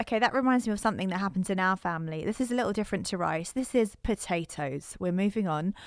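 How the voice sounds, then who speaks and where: A woman with a British accent at medium pitch, ordinary pitch variation, and a very fast pace, on a very clean recording with a silent background. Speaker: podcast co-host. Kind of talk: casual chat.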